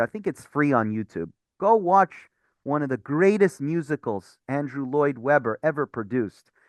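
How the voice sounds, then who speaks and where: A man with a fairly high pitch speaks in an animated tone at a moderate pace, his pitch swinging very widely. The sound is dry and close with no echo, over a quiet background. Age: 30s. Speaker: rabbi. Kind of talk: bible study teaching.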